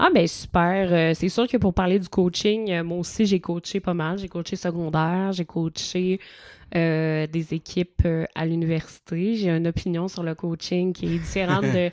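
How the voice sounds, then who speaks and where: In a Quebec accent, a woman speaks at a fairly slow pace with fairly low pitch and fairly even intonation. The sound is dry and close with no echo, over a quiet background. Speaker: podcast host. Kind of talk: casual chat.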